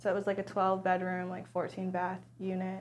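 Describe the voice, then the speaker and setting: A woman speaks at a medium pitch in a monotone, flat intonation. Audible room echo surrounds her voice. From US, Arlington Virginia. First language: American Sign Language. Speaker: trauma survivor sharing her story. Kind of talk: personal testimony interview.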